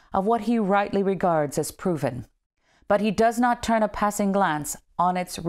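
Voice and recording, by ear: A natural voice reading aloud over a quiet background, its pitch varying in an ordinary way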